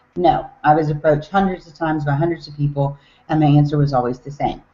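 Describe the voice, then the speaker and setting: A woman with a Southern US accent, a very deep, low pitch and a fairly quick pace. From US South, Tennessee. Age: 40s. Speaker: network marketer. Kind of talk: business talk on a team call. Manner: casual, with filler words.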